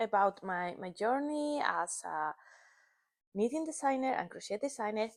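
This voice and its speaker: A woman speaks in a Spanish accent at a fairly slow pace. Her pitch swings very widely. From northern Spain. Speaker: knitting and crochet designer. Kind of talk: casual vlog chat. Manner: halting.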